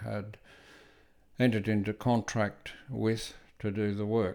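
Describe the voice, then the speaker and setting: A man speaks at fairly low pitch and a fairly slow pace with monotone, flat intonation. The recording is very clean, with a silent background. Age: 70s. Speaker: retired electrician. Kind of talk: casual talk-through of photos.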